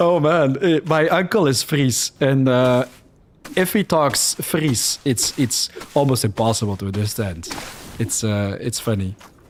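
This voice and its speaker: Over noticeable background noise, a speaker with a Flemish accent talks at a fairly slow pace in an animated tone with lively intonation. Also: man, medium pitch for a man. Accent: Dutch Flemish. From Belgium (Flanders), born in Netherlands. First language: Dutch (Flemish). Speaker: gaming streamer. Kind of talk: live gameplay commentary.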